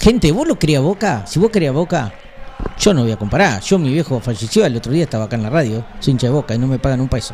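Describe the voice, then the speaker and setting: Over noticeable background noise, a man with a medium-pitched voice talks at a very fast pace, his pitch swinging very widely. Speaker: radio co-host, football fan. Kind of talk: casual chat about football.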